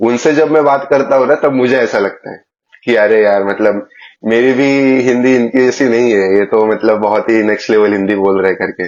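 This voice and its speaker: Ordinary pitch variation and a moderate pace from a man at a medium pitch. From Maharashtra, India. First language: Marathi (speaking Hindi). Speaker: podcast host. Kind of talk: casual interview chat.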